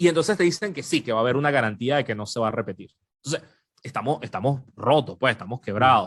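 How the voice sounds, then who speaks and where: A man's medium-pitched voice, animated in tone, with lively intonation and a very fast pace. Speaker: journalist. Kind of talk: podcast interview.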